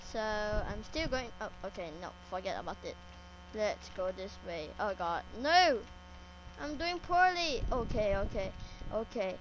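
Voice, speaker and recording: Long, frequent pauses break up a woman's speech, and her pitch swings very widely. Noticeable background noise runs behind her. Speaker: Minecraft YouTuber. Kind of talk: casual gameplay commentary. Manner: repetitive, rambling, excitable.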